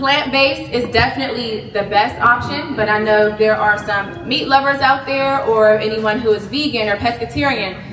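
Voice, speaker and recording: A woman's fairly high voice at a moderate pace, with hardly any pauses, ordinary pitch variation, noticeable background noise, and audible room echo. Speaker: wellness presenter, business founder. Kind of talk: health talk to a live audience. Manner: loud; casual, chatty.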